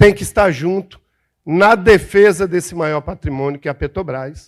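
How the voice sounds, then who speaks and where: The tone is animated and the pace moderate. The recording is very clean, with a silent background. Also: man. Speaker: panelist, oil workers' organization representative. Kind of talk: panel speech.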